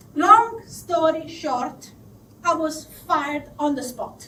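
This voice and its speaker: A woman speaks with an Italian accent. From southern Italy. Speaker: confidence coach. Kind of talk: live storytelling to an audience.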